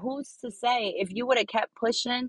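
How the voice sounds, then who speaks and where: A woman uses a plain, everyday voice at a fairly high pitch. She speaks at a fairly slow pace. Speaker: podcaster. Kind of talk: solo motivational talk. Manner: casual, conversational.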